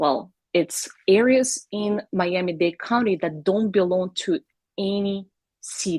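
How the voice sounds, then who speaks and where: In a Russian accent, a woman talks at a fairly slow pace with a medium pitch and a dry, close sound with no echo. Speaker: realtor. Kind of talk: live video show chat.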